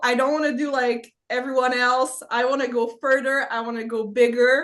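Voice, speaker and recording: At a moderate pace, a woman with a Quebec accent speaks in a high pitch with a bright, sharp tone. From Quebec, Gatineau. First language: French. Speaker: production designer, podcast guest. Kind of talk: casual chat. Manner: halting.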